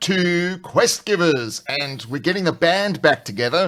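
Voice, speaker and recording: Lively intonation marks this man's speech in a South African accent. He talks at a fairly slow pace. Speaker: tabletop RPG channel host. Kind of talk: live stream casual chat. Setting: live stream video call.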